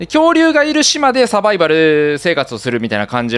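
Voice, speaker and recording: A man is speaking. He has a Kansai accent. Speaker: game streamer. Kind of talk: casual gameplay commentary.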